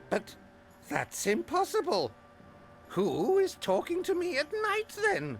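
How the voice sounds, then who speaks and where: A put-on character voice with high pitch moves at a fairly slow pace with long, frequent pauses. Clear music plays in the background. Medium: video game. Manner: confused, rambling.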